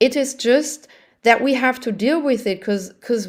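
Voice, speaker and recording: A woman talks loudly at a moderate pace, her pitch high. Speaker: community member. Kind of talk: group discussion.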